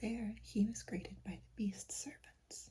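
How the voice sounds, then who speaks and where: A soft-spoken, whispering voice with a calm tone. The pace is fairly slow. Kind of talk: storybook reading aloud. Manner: soft, whispery, calm.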